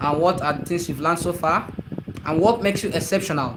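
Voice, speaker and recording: A man's fairly quick speech over noticeable background noise. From Nigeria. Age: 30s. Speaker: movie creator streaming live. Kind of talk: live stream chat.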